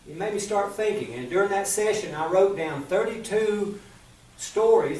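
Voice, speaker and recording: Here a man speaks with an Appalachian accent at a high pitch. Background noise is noticeable. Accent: Appalachian Southern US. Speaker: storyteller. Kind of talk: business pitch presentation.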